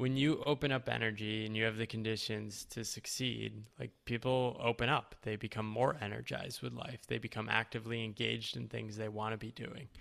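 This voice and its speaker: An ordinary speaking voice with an American accent, fairly even intonation and hardly any pauses. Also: man, medium pitch for a man, fairly quick pace. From US Northeast, rural Connecticut. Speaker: writer and coach. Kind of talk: interview conversation.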